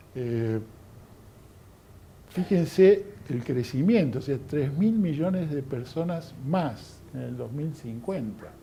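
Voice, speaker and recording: The voice has a dark, mellow tone and is somewhat breathy, moving at a very slow pace with lively intonation and long, frequent pauses amid audible room echo. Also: man. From Argentina. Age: 60s. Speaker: lecturer. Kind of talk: lecture. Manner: halting, many fillers.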